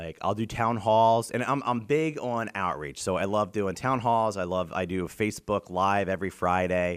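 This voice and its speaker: Heard in a very clean recording with a silent background, a normal speaking voice with an American accent moves at a moderate pace with hardly any pauses. Its pitch varies in an ordinary way. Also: man, fairly low pitch for a man. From Pennsylvania, York County. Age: 30s. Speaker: state legislator. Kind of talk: casual interview. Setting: in person interview.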